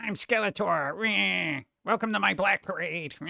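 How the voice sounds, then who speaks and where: A man puts on a character voice pitched high. It comes out whiny. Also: moderate pace. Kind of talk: emo. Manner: whiny, emo-like.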